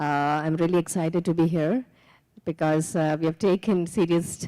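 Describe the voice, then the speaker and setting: Delivered at a moderate pace with an Indian accent, the voice has a dark, mellow tone and fairly even intonation in a very clean recording with a silent background. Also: woman. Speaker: microfinance manager. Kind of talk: conference panel introduction.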